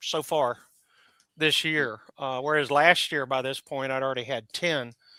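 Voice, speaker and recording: A man speaks with music playing in the background. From Alabama. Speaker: licensed battlefield tour guide. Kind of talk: casual chat. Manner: halting.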